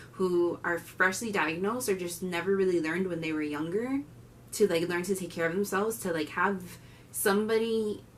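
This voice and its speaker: A woman with a Miami accent, fairly low-pitched, with ordinary pitch variation. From Miami, Florida (Cuban-American family). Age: 20s. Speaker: diabetes vlogger and student. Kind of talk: casual vlog introduction. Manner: animated.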